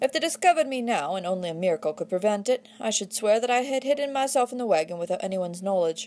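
Lively intonation in a natural reading voice

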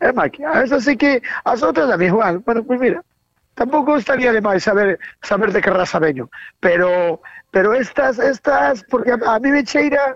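A woman speaks in an ordinary speaking voice at very even loudness, recorded with a dry, close sound and no echo. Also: fairly high pitch for a woman, lively intonation, moderate pace. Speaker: radio collaborator. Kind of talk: casual chat.

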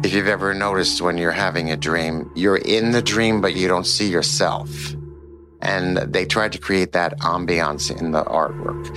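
Over music in the background, a man with a very deep, low pitch speaks with lively intonation and very even loudness. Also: moderate pace. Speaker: professor and author. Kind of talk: lecture-style interview.

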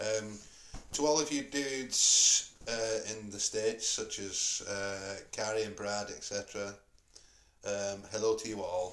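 A man's fairly low voice with a northern English accent, ordinary pitch variation and a very slow pace. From northern England. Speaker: podcast host. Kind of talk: casual chat. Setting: in a pub.

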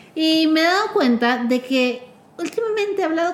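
A woman at a moderate pace with very wide pitch swings, over noticeable background noise. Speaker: podcast host. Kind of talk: casual chat. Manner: talkative.

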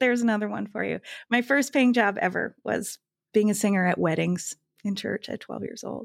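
A woman talks at a fairly quick pace. The recording is very clean and dry, close with no echo, over a silent background. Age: 50s. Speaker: gene keys reader and textile artist. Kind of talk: casual interview chat.

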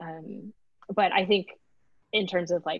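With an American accent, a woman speaks at a moderate pace in a fairly low pitch and a monotone, flat intonation. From Texas, Houston suburbs. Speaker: PhD student in biological engineering. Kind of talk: casual interview. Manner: hesitant with frequent fillers.

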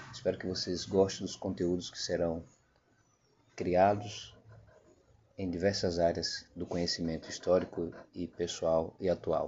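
The speech moves at a fairly slow pace with fairly even intonation, broken by long, frequent pauses. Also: man, very deep, low pitch for a man. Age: 50s. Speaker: podcast host. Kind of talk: podcast introduction.

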